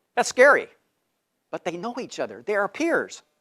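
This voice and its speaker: A man at a fairly quick pace with very wide pitch swings, in a very clean recording with a silent background and a dry, close sound with no echo. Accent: American. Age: 60s. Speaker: fundraising trainer. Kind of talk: training seminar talk.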